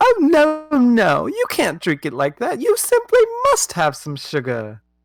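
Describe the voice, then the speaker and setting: The voice is a put-on character. Its delivery is fairly slow. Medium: actual play. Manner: repetitive, insistent.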